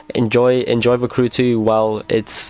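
A man speaks while noticeable noise sounds in the background. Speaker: gaming youtuber. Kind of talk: tutorial.

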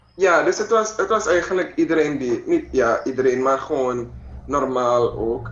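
A man at a fairly slow pace, with audible room echo. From Suriname. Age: 20s. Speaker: mixed martial arts fighter; interviewee. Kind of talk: interview. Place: home room. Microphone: video call.

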